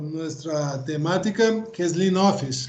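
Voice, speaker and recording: Audible room echo surrounds a man speaking at a very slow pace with a Brazilian accent. His pitch is high, with ordinary variation. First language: Portuguese (speaking Spanish). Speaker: professor. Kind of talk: lecture. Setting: video call. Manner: halting.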